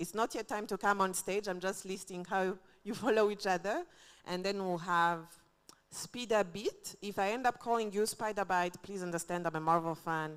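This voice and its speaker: A woman at a medium pitch and moderate pace, with fairly even intonation. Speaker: event emcee. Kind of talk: event hosting. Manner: loud.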